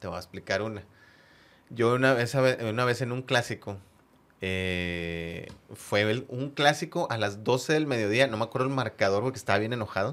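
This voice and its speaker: A man's medium-pitched voice at a moderate pace. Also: ordinary pitch variation. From Monterrey, Mexico (San Nicolás). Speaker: football fan, supporters' group member. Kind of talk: casual interview, personal stories. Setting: studio with headphones.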